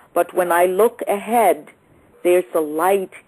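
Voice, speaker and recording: Noticeable background noise surrounds a woman speaking at a very slow pace. Her medium-pitched voice sounds dry and close, with no echo. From Liberia. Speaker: author and magazine publisher. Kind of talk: interview answer.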